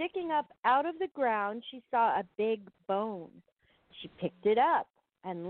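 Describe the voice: Plain reading aloud with lively intonation and a quiet background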